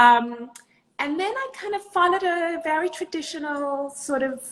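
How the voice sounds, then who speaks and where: A woman with a South African accent. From South Africa and Israel. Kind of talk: interview.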